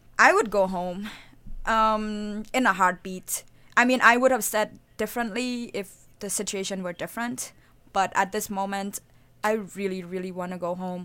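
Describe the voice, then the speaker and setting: In a very clean recording with a silent background, a woman speaks in a bright, sharp tone with fairly even intonation. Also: medium pitch for a woman, moderate pace. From Cambodia. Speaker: college student. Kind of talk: casual interview chat. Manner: talkative, rambling.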